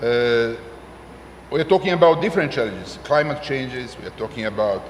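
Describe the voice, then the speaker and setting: In a room with audible echo and noticeable background noise, a man with a medium pitch talks at a fairly quick pace, his intonation lively and his loudness swinging widely. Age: 60s. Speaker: senior statesman / former politician. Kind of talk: panel discussion. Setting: conference stage with audience. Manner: halting, many fillers.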